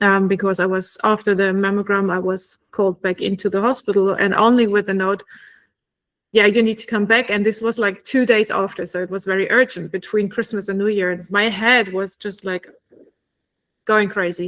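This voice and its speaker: With a German accent, a woman talks at a moderate pace in a monotone, flat intonation. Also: medium pitch for a woman. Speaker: oncology nurse and podcast host. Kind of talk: casual interview conversation.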